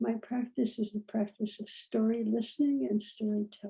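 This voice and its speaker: Fairly high female speech, somewhat breathy, with a dark, mellow tone. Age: 80s+. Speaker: physician and storyteller. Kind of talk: dialogue talk on spirituality.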